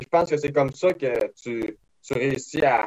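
A man with a fairly high pitch, a normal speaking voice, and ordinary pitch variation. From Quebec, Beauce region. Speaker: race car driver. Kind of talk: interview.

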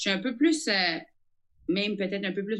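Moderately paced speech from a woman, her pitch varying in an ordinary way. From New Brunswick, Acadia. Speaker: comedian. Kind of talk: casual interview.

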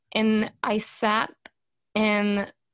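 The recording is very clean with a silent background. A woman with a fairly high pitch speaks in a Quebec accent. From Canada. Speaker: podcast host. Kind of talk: casual chat.

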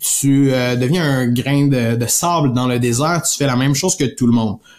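In a Quebec accent, a man with fairly high pitch speaks in an animated, somewhat breathy tone. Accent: Québécois French. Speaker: podcast host, sales coach. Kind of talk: solo podcast talk.

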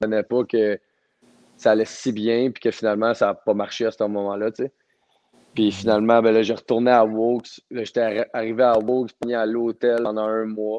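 A man with a Quebec accent at medium pitch, a fairly quick pace, and monotone, flat intonation, in a dry, close sound with no echo and a quiet background. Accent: Québécois French. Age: 20s. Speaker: professional hockey player. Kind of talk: interview.

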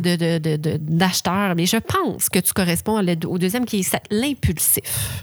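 Her intonation is lively and her voice somewhat breathy. The woman speaks at a medium pitch. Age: 20s. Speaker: podcast co-host. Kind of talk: casual chat.

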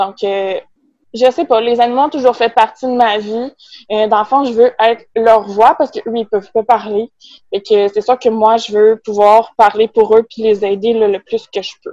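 In a Quebec accent, a woman speaks at a fairly slow pace with a fairly high pitch and fairly even intonation. Her tone is dark and mellow, and the sound is dry and close with no echo. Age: 20s. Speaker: veterinary technician and small business owner. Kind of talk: casual interview.

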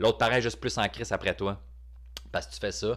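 With a Quebec accent and vocal fry, a man speaks fairly quickly at a fairly low pitch. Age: 30s. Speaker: stand-up comedian. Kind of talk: podcast monologue. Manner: casual, hesitant.

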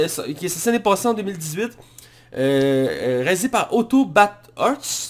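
With a Quebec accent, a man speaks at a very slow pace and a high pitch, using very wide pitch swings. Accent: Québécois French. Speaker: podcast host, film critic. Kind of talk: casual chat.

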